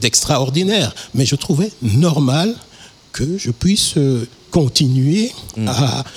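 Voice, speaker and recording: A man talks at a very slow pace in a fairly high voice, his pitch swinging very widely. Noticeable background noise runs underneath. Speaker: musician. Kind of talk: interview. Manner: halting.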